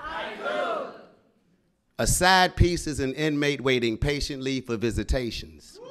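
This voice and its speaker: With crowd noise in the background, a man talks at a fairly slow pace in an animated, playful tone with lively intonation. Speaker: spoken word poet. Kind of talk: spoken word poetry. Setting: stage with audience at open mic. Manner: animated, punchy crowd-working delivery with repeated haiku cues, pauses for laughs; bold, playful and joking, with comic timing. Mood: playful, bawdy humor. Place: stage. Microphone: studio mic.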